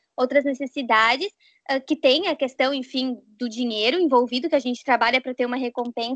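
Fairly even intonation at a fairly quick pace. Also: woman, high pitch for a woman. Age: 20s. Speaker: psychologist. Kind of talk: casual chat.

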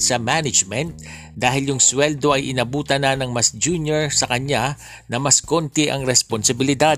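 At a moderate pace and with fairly even intonation, the speech plays over music in the background. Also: man. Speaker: news podcast host. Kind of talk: casual commentary; news reading.

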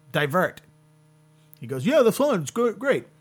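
The speaker has an American accent and a fairly quick pace. Very wide pitch swings ride over music in the background. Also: man. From US Mid-Atlantic. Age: 30s. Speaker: podcast host and comedian. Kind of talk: casual interview.

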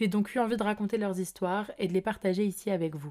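A woman with a medium pitch and a dark, mellow tone speaks at a fairly quick pace with fairly even intonation in a very clean recording with a silent background. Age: 20s. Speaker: podcast host. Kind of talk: scripted narration.

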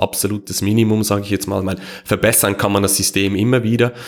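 His intonation stays fairly even as a man talks in a fairly low voice. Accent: Swiss German. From Switzerland. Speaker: Bitcoin security consultant, electrical engineer. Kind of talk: podcast interview.

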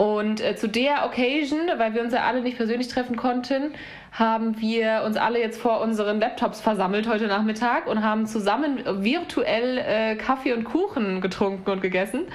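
Noticeable background noise sits behind a woman talking at a moderate pace. Her loudness is very even, and her pitch variation is ordinary. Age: 30s. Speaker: podcast host. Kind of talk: casual chat.

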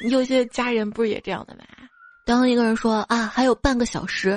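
An animated woman with a high pitch and a fairly quick pace. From northwest China. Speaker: podcast host. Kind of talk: comedic monologue, jokes and listener comments.

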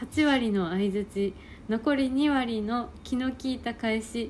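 A woman's voice sits high in pitch, varying in an ordinary way. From Japan, Ehime. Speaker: podcast co-host, hair salon worker. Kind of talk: casual chat.

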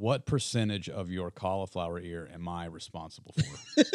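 A man's very deep, low pitch at a fairly slow pace, with ordinary pitch variation. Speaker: podcast host. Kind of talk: casual chat. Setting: studio.

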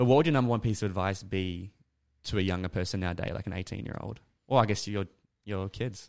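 An Australian-accented man's fairly low voice at a very fast pace, with ordinary pitch variation, on a very clean recording with a silent background. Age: 20s. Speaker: podcast host. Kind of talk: casual interview.

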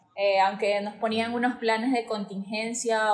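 A woman with a coastal Ecuadorian accent, fairly high in pitch, at a fairly slow pace. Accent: coastal Ecuadorian accent noticed by locals. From Guayaquil, Ecuador. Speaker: dentist. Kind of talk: casual interview.

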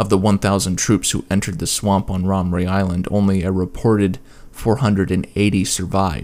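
Very deep and low, a man's voice carries a dramatic tone with fairly even intonation. His pace is fairly quick. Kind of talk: history podcast narration. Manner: measured, storytelling delivery with dramatic emphasis.

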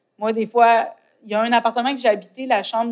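A woman talks at a moderate pace with fairly even intonation. Her pitch is fairly high. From Quebec, Côte-Nord. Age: 40s. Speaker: poet and author. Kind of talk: interview. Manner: halting, searching for words.

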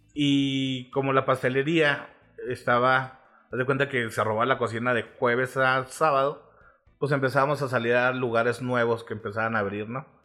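With music in the background, a man at a medium pitch speaks at a moderate pace in a monotone, flat intonation. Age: 30s. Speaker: food reviewer and marketer. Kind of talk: casual chat.

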